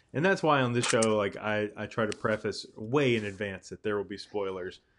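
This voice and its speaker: An unremarkable speaking voice from a man, fairly low-pitched, at a moderate pace against a quiet background. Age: 30s. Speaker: podcast host. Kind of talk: casual chat.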